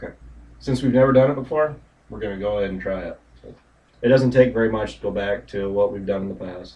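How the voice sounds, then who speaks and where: A man rushes at a very fast pace yet takes long, frequent pauses, his loudness swinging widely and his pitch varying an ordinary amount. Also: fairly low pitch for a man. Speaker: farmer. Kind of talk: casual chat. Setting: livestream.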